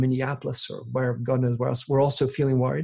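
A man's somewhat breathy voice, dark and mellow in tone, at a very fast pace. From England. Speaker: author and podcaster. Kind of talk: interview. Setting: remote call.

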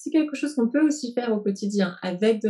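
The tone is dark and mellow, and the pace is fairly quick. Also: woman. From France, then England. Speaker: therapist and coach. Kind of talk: interview. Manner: hesitant, with frequent repetitions.

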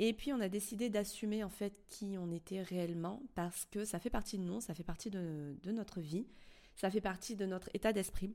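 Medium pitch from a woman, with ordinary pitch variation and a moderate pace. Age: 30s. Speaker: podcast host. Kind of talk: casual monologue. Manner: hesitant.

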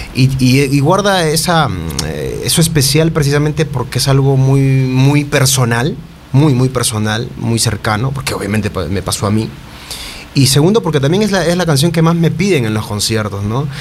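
The speaker uses lively intonation at a moderate pace, with audible room echo and noticeable background noise. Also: man, fairly high pitch for a man. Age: 30s. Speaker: singer-songwriter. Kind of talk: casual chat. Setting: studio.

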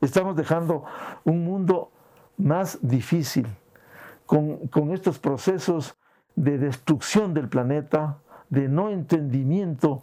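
A man's fairly high voice with a dark, mellow tone and ordinary pitch variation, at a very slow pace in a very clean recording with a silent background. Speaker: veteran journalist. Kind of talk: interview. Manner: halting.

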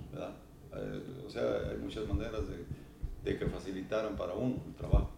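Over noticeable background noise and audible room echo, a man speaks at a moderate pace with big swings in loudness. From Mexico, Jalisco (small town south of Guadalajara). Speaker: charreria judge. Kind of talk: casual interview chat.

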